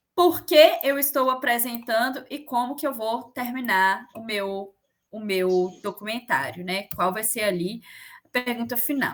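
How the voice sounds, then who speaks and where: A woman's high-pitched voice comes through at a fairly slow pace. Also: big swings in loudness. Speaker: teacher. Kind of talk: online lecture.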